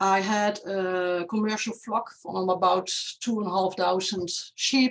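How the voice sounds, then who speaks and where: Speaking with a non-native accent, this voice moves at a very slow pace. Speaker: veterinarian. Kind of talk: conference presentation. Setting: online video conference.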